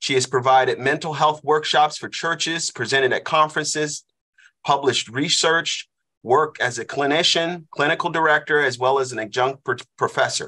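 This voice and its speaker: A man with a normal speaking voice speaks at a moderate pace in a fairly high pitch. His intonation is fairly even, and the background is quiet. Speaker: class host, leads prayer. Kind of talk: prayer and introduction. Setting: online class, video call.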